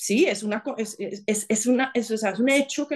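At a moderate pace, a woman talks with lively intonation in an unremarkable speaking voice. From Colombia, Bogotá. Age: 40s. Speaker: former government chief of staff, lawyer. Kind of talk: interview conversation.

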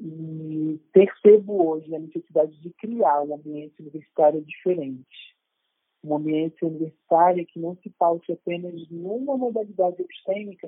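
Pitched high for a man, his voice has ordinary pitch variation and moves at a fairly slow pace. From Rio de Janeiro, Brazil. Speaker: university professor. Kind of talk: casual chat. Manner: formal.

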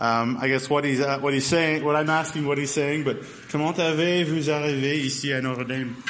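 Against noticeable background noise, the speaker talks at a fairly quick pace in a monotone, flat intonation with very even loudness. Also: man. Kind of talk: casual interview.

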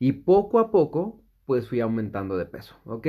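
A plain, everyday voice belonging to a man. He talks fairly slowly at a medium pitch. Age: 30s. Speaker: podcast host. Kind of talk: solo podcast monologue. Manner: casual, with many fillers.

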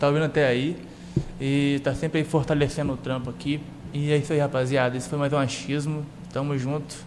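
A man speaks fairly quickly at a fairly high pitch with monotone, flat intonation. Noticeable background noise sits behind him. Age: young. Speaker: podcast host. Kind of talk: casual chat.

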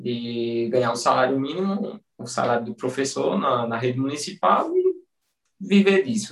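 Very wide pitch swings mark speech that moves at a moderate pace. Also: man, medium pitch for a man. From Pernambuco interior, Brazil. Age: 20s. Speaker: personal trainer. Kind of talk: casual interview chat.

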